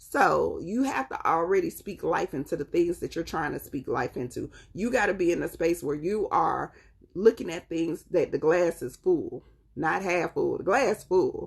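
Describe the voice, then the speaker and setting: Here is a woman with a Southern accent. She has an animated tone and a moderate pace. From US South, North Carolina. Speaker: tarot reader. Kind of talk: live-stream tarot reading.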